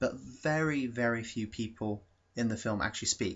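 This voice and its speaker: A man with a British accent speaks at a moderate pace, his pitch medium and his pitch variation ordinary. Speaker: YouTube film reviewer. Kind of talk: casual video review. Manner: hesitant, many fillers.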